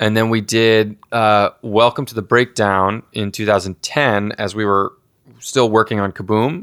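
In a very clean recording with a silent background and a dry, close sound with no echo, a man with an ordinary speaking voice talks fairly slowly at a fairly low pitch with fairly even intonation. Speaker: rock band frontman and songwriter. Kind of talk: casual interview. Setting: recorded at a gaming festival.

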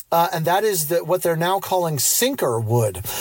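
A man with an American accent, high-pitched for a man, with lively intonation at a moderate pace amid noticeable background noise. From Central Pennsylvania, US. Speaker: listener voicemail caller.

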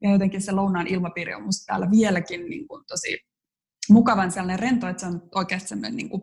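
A woman of medium pitch speaks at a fairly quick pace, somewhat breathy, with ordinary pitch variation and big swings in loudness. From Finland, Joensuu (eastern Finland). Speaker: photographer. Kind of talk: casual interview chat. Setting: remote recording from Paris.

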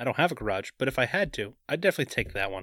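A man speaks at a very fast pace with vocal fry and a bright, sharp tone. The recording is very clean, with a silent background. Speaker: podcast co-host.

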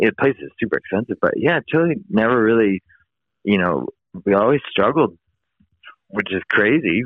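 Speaking at a moderate pace and a medium pitch with an American accent, a man uses very wide pitch swings and long, frequent pauses. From US West Coast, San Francisco East Bay. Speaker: motocross filmmaker and video editor. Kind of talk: casual interview.

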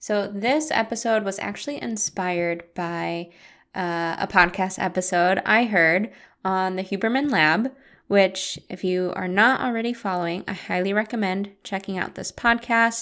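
This woman has an ordinary speaking voice at a medium pitch, with ordinary pitch variation. The recording is very clean, with a silent background. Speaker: meditation guide and podcast host. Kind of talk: guided meditation. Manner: slow, calm, soothing and gentle, with long pauses; soft-spoken, warm and inviting.

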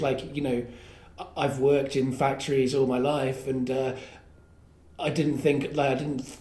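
A man's fairly high-pitched voice proceeds at a moderate pace. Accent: English. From England. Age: 30s. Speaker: podcast host and storyteller. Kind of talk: casual chat. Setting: comedy club attic.

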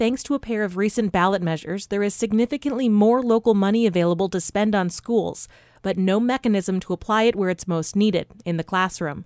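A woman with a plain, everyday voice at medium pitch, a fairly quick pace with hardly any pauses, ordinary pitch variation, and a dry, close sound with no echo. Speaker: radio news anchor. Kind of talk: news reading. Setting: studio.

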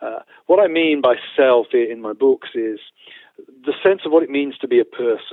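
A man with a British accent. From United Kingdom. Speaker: theologian and professor. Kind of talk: interview.

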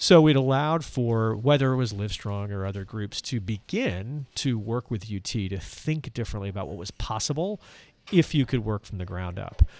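On a very clean recording with a silent background, a man in a normal speaking voice talks at medium pitch and a moderate pace, his intonation lively and his loudness swinging widely. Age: 50s. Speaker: nonprofit executive. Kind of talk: interview. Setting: live event venue.

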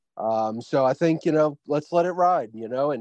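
A man with an unremarkable speaking voice talks at a moderate pace, his pitch fairly high with ordinary variation. The sound is dry and close with no echo, over a quiet background. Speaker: podcast co-host.

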